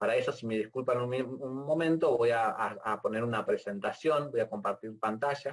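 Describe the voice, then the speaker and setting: Delivered at a moderate speed, the speech has hardly any pauses and pitch that varies in an ordinary way. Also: man, medium pitch for a man. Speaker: university lecturer. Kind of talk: lecture. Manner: halting.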